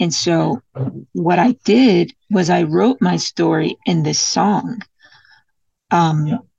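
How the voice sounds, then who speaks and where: Very slowly, a woman with an American accent speaks in a fairly low voice with vocal fry, the sound dry and close with no echo. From US, Detroit. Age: 20s. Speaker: singer-songwriter. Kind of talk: interview.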